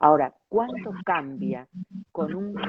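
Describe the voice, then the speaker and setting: Her intonation rises and falls in a lively way. The woman talks very slowly. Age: 60s. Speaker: interview show host. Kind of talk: interview.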